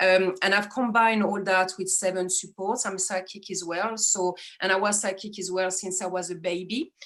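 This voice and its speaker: A woman with a French accent, moderate pace, monotone and flat, hardly any pauses. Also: medium pitch for a woman. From France, Strasbourg area. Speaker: astrologer. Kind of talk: interview.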